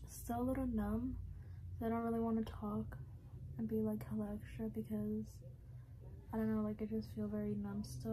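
A woman talks at a moderate pace with very even loudness and long, frequent pauses. Noticeable background noise sits behind her voice. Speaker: vlogger. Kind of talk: casual vlog chat. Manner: numb, slurred post-surgery speech. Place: home room. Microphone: phone near.

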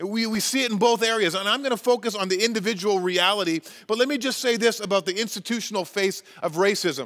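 Against a quiet background, the speaker goes very fast with ordinary pitch variation. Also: man, high pitch for a man. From Canada, Chilliwack, British Columbia. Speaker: pastor. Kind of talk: sermon. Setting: church. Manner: halting. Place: church.

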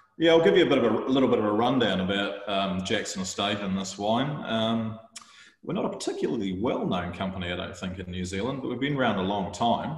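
A man speaks at a fairly low pitch, with audible room echo. The background is quiet. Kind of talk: presentation to online tasting audience. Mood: relaxed, friendly. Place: home room. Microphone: video call.

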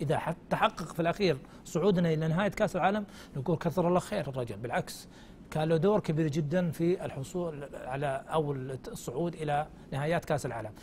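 Light background noise sits under a man's fairly high voice. He talks at a moderate pace with ordinary pitch variation. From Saudi Arabia. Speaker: sports commentator. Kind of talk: TV studio discussion. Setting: studio. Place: studio. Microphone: lapel.

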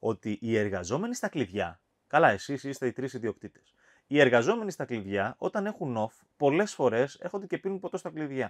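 At a moderate pace, a man talks with very wide pitch swings against a quiet background. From Cyprus. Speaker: podcast host. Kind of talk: interview. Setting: wine cellar.

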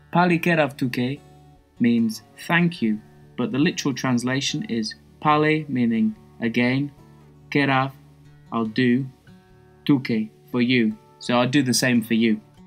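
Music plays behind a man who talks at medium pitch and a fairly slow pace, with ordinary pitch variation and long, frequent pauses. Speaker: language teacher. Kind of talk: language lesson explanation.

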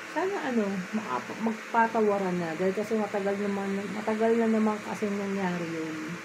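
A woman speaks at a moderate pace with ordinary pitch variation against noticeable background noise. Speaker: vlogger. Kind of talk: casual vlog chat. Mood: relaxed, sleepy evening talk. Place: home room. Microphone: phone near.

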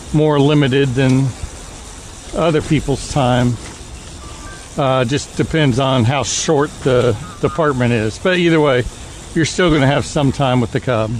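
A man speaks with ordinary pitch variation and very even loudness, leaving long, frequent pauses. Music plays in the background, and the sound is dry with no echo. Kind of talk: casual vlog chat. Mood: relaxed reminiscing. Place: street. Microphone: phone near.

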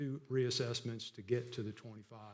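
A loud man speaks with a South Carolina accent. His intonation stays monotone and flat. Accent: Southern American (South Carolina). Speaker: county assessor. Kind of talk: public meeting report. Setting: county council meeting. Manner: hesitant, many fillers.

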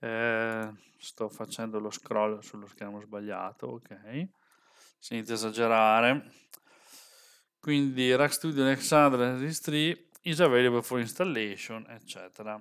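A man speaks at a very slow pace. Long pauses come often. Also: ordinary pitch variation, big swings in loudness, quiet background. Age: 40s. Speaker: software developer and tech streamer; tech streamer. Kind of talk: live stream tutorial. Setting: live stream with webcam. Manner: casual, chatty. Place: home room. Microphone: headset.

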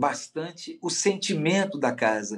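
A man's fairly high, fry-edged voice, very slow, with very wide pitch swings. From Minas Gerais, Brazil. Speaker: politician. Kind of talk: interview. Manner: fluent, articulate. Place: office. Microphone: video call.

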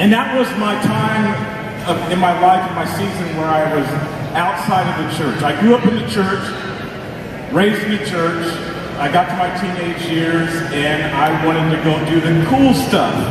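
Strong room echo and noticeable background noise surround a man who talks at a moderate pace with ordinary pitch variation and long, frequent pauses. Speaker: guest. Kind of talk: speech testimony. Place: hall.

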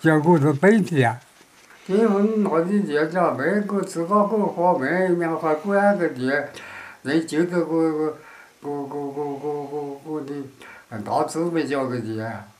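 Over noticeable background noise, a man with a fairly high voice speaks very slowly, with long, frequent pauses and ordinary pitch variation. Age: 80s+. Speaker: war veteran. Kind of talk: interview answer.

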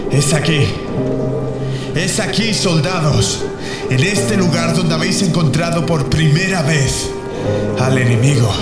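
Against loud background music and audible room echo, a man speaks at a fairly slow pace. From Spain. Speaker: voice actor. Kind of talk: epic dubbing demo, battle speech. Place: booth.

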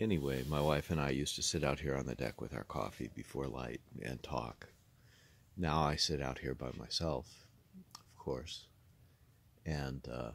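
A man speaks with a very deep, low pitch and vocal fry, his intonation fairly even at a fairly slow pace. Long pauses come often, and the sound is dry with no echo. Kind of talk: casual vlog chat. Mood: quiet, reflective, grieving. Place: garden.

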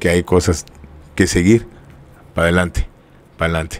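A man speaks in a very deep, low voice. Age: 50s. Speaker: cumbia band leader; guest. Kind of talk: interview storytelling. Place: studio. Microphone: studio mic.

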